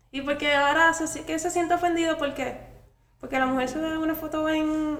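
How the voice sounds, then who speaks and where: Extremely high-pitched woman's voice, flat and monotone at a moderate pace, with audible room echo and noticeable background noise. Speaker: podcast guest, content creator. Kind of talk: casual chat.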